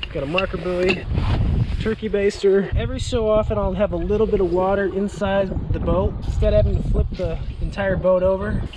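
Fairly brisk speech against clearly audible background noise. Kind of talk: tutorial walkthrough. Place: open country. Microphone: phone near.

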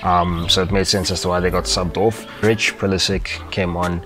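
A man talks at a moderate pace in a low voice with little pitch movement. Clear music plays in the background.

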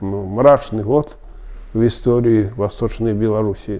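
Over a quiet background, a man speaks with a dark, mellow tone. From Belarus, Smilovichi near Minsk; Belarus. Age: 70s. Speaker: Belarusian Tatar elder interviewee; interviewee. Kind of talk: oral history interview. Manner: halting, many filler sounds. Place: office.

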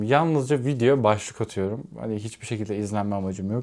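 A man with a fairly low pitch and a dark, mellow tone is heard in a very clean recording with a silent background. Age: 20s. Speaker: vlogger. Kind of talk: casual vlog monologue. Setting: home, alone.

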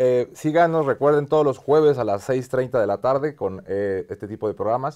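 In a normal speaking voice, a man talks at a moderate pace and fairly high pitch with ordinary pitch variation against a quiet background. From Mexico. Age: 50s. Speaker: TV show host, business executive; TV show host. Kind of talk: interview. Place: studio. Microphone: lapel.

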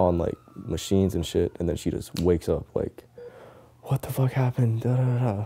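Soft-spoken, a man talks with an American accent at a moderate pace, using ordinary pitch variation. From Tampa, Florida. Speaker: professional skateboarder. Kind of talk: documentary interview answer. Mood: soft-spoken, reflective, somber. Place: home room.

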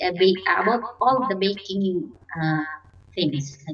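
At a very slow pace, a woman with a Filipino accent speaks with ordinary pitch variation. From Philippines. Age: 40s. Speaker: domestic worker. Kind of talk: job interview. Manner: halting, repeats words. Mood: polite, somewhat nervous, hesitant. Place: home room.

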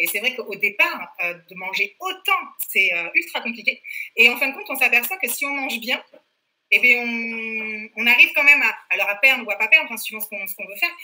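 A woman talks at a fairly quick pace in a high voice, her pitch swinging very widely and her loudness rising and falling sharply. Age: 40s. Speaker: fitness program client, mother. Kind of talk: interview. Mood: lively, enthusiastic. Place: home room. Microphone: webcam.

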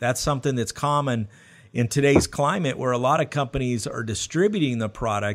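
A man with an American accent uses a normal speaking voice of medium pitch and lively intonation against a quiet background. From US South. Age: 40s. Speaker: podcast host. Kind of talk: interview. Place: studio. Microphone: studio mic.

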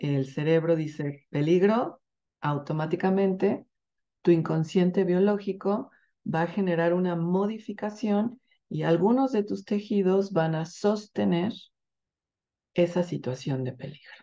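A dark, mellow tone with ordinary pitch variation at a fairly slow pace, over a quiet background. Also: woman, fairly low pitch for a woman. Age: 50s. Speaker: women's health workshop facilitator. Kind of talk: workshop promo talk. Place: home room. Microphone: webcam.

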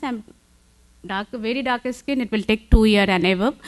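Over a quiet background, a woman talks with an Indian accent. Her pitch sits fairly high. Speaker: conference speaker on cosmetology; conference speaker. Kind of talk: conference talk. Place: hall.

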